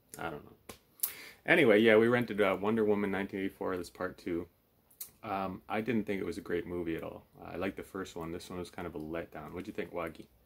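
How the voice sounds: Low-pitched and showing vocal fry, a man talks at a fairly quick pace with fairly even intonation.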